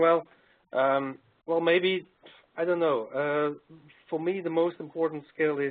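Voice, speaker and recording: Fairly even intonation from a man, paced fairly slowly. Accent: non-native. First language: not English. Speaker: doctoral graduate and consultant. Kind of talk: webcast panel Q&A. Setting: online webcast. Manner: hesitant, many fillers and repetitions.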